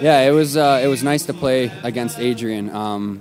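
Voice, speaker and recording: Music plays in the background as someone talks at a moderate pace. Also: man. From Canada. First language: French. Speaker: college ice hockey player. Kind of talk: casual interview. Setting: arena.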